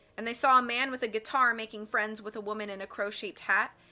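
The intonation stays fairly even as someone reads aloud in a natural voice.

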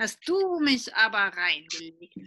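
Doing a put-on character voice, a woman mumbles at a fairly slow pace with a fairly high pitch. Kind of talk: children's story read-aloud. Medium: read story. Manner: mumbling, absent-minded. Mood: amused.

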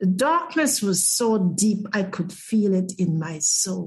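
A somewhat breathy woman speaks at a very slow pace with lively intonation. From Guyana. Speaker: spiritual therapist and near-death experiencer. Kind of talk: interview testimony.

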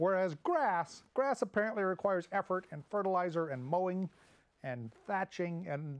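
A man talks at a moderate speed, and the background is quiet. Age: 50s. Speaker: comedic monologue host. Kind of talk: casual comedic monologue. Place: studio.

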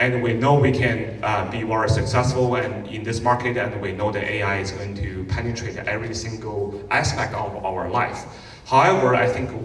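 Against audible room echo, a man speaks at a moderate pace with fairly even intonation. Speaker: conference host. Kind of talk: conference welcome talk. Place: stage.

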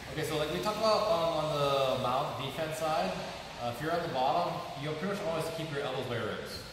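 A man talks at a very fast pace. Strong room echo and noticeable background noise surround his voice. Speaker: martial arts instructor. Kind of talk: tutorial. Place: gym. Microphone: camera far.

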